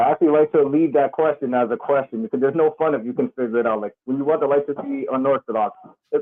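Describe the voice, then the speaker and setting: In a New York accent, a man talks at a very fast pace. His pitch swings very widely. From New York, the Bronx. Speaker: professional wrestler. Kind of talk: casual interview.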